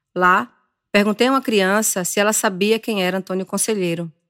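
A woman talks at a moderate pace with ordinary pitch variation. The recording is very clean with a silent background and a dry, close sound with no echo. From Brazilian Northeast. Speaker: journalist and podcast host. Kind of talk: scripted narration.

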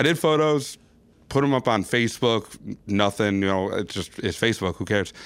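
Speaking at a fairly quick pace, a man with an American accent has an ordinary speaking voice, a fairly low pitch and ordinary pitch variation, on a very clean recording with a silent background. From Minnesota, Burnsville. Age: 30s. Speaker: photographer. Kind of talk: casual chat. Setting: studio.

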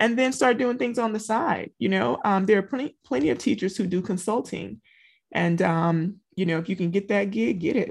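A woman with a Southern US accent talks at medium pitch and a moderate pace, with lively intonation and vocal fry. The background is quiet. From Louisiana. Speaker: teacher and business coach. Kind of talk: interview.

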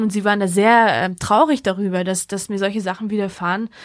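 Over a silent background in a very clean recording, a woman talks at a very fast pace with medium pitch and fairly even intonation. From Georgia, Hungary and Germany. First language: Hungarian (speaking German). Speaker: Europe activist and author. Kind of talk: interview.

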